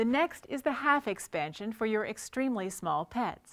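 This woman talks at a moderate pace, and the background is quiet. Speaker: presenter. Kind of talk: product presentation. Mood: upbeat promotional. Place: studio.

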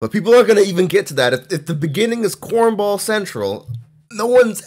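In a very clean recording with a silent background, a man talks at a fairly quick pace in an animated tone. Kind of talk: reacting to own old videos, casual commentary. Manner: animated, excitable, self-deprecating.

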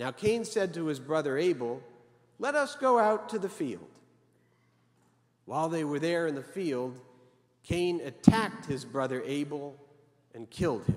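Against a quiet background, a man speaks at a moderate pace with lively intonation and long, frequent pauses. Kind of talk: sermon. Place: church. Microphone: podium.

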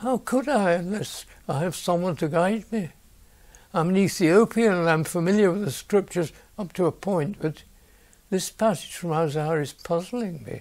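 Over a quiet background, a man with a high pitch talks at a moderate pace with ordinary pitch variation. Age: 80s+. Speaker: lay preacher. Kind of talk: reading a bible story. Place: home room. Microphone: lapel.

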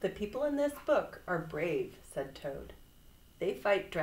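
Throughout, the reading is done in an unforced reading voice.

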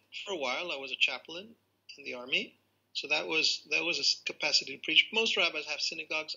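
This man has an American accent. He speaks very fast. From Israel. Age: 60s. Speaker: rabbi and theologian. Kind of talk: interview. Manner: playful. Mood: calm, reflective. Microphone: video call.

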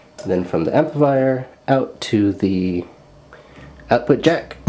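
A man at medium pitch against noticeable background noise. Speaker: DIY synth hobbyist. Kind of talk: casual tutorial demo to camera.

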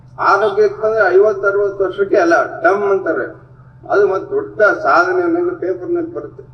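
This man's voice sits high for a man and swings very widely in pitch. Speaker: social activist speaker. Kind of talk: public speech.

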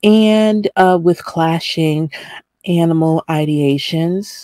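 In a dry setting with no echo and a quiet background, a woman speaks with ordinary pitch variation. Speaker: vlog host. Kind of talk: casual vlog chat. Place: home room. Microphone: webcam.

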